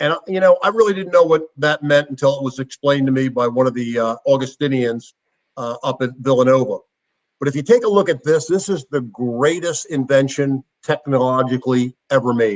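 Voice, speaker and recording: A man with an American accent talks at a fairly quick pace in a fairly high voice with ordinary pitch variation; a plain, everyday voice. The sound is dry and close, with no echo. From Philadelphia, US. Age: 60s. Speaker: former football player and motivational speaker. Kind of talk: interview. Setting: at home.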